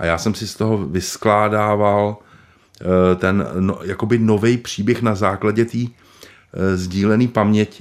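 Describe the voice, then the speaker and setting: This man speaks at a fairly slow pace in a fairly low pitch, his intonation fairly even. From Prague, Czech Republic. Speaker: screenwriter. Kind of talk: interview. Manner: halting.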